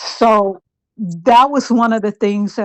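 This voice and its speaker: A woman talks at a fairly slow pace with ordinary pitch variation. She has an unremarkable speaking voice. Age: 60s. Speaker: romance scam victim sharing her experience. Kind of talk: interview testimony.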